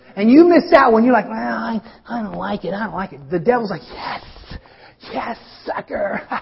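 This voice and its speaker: A man at a moderate pace, animated in tone, with big swings in loudness and noticeable background noise. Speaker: pastor. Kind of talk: sermon. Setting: church. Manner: animated, conversational preacher.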